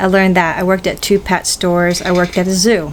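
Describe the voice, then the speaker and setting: Over noticeable background noise, a woman speaks at a fairly quick pace with a fairly low pitch. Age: 60s. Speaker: YouTuber answering viewer questions. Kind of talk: casual Q&A vlog. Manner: halting, with many fillers.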